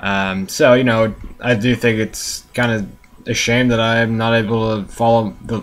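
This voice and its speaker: Ordinary pitch variation runs through the man's medium-pitched speech. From United States. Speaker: vlogger, soccer fan. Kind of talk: casual monologue vlog. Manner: hesitant, many fillers.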